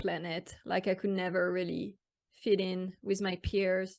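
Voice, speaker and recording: A woman speaks at a fairly slow pace. She has a French accent. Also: quiet background. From France. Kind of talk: interview. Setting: podcast. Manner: halting.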